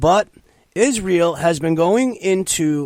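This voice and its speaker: Loud and lively in intonation, a man speaks in a high pitch at a fairly slow pace. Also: dry, close sound with no echo. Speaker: talk radio host. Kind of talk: political talk radio monologue. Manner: loud, forceful ranting.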